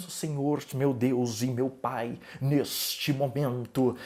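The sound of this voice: A man uses a hissing, put-on character voice at a medium pitch. He speaks at a very slow pace over light background noise.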